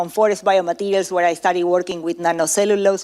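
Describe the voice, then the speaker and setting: The speaker is a woman. She has an Argentinian accent. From Argentina. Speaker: professor. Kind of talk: conference talk. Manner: halting, many fillers.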